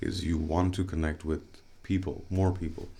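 A man talks in a very deep, low pitch that sounds somewhat breathy. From Bangladesh, Dhaka. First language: Bengali. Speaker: podcast guest, artist. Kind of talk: interview conversation. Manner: halting, many fillers and repetitions.

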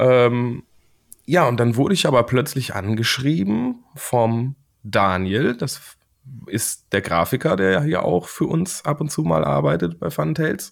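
On a very clean recording with a silent background, a man at medium pitch speaks at a fairly slow pace with very wide pitch swings. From Germany, Siegen. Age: 30s. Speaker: board game illustrator. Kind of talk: casual interview.

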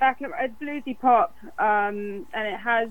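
A fairly high female voice, its pitch shifting an ordinary amount. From London, England. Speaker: singer-songwriter. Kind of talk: interview.

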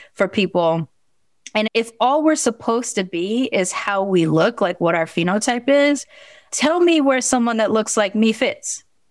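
A woman with an American accent talks at a moderate pace in a fairly high pitch. The recording is very clean, with a silent background. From Long Beach, California. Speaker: podcaster. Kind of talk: interview, casual chat.

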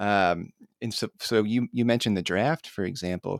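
Medium-pitched male speech with a Midwestern American accent at a moderate pace, dry and close with no echo, in a very clean recording with a silent background. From US Midwest, northern Indiana. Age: 30s. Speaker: podcast host. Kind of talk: interview. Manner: halting.

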